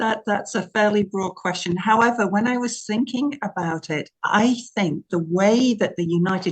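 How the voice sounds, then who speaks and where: Here a woman speaks in a somewhat breathy voice. She goes at a fairly slow pace, with ordinary pitch variation. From England. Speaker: minister. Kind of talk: interview.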